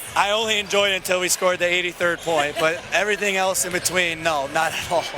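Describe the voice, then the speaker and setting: A man speaks very fast in a high voice, his intonation fairly even. There is noticeable noise in the background. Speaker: basketball coach. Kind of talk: post-game interview. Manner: talkative.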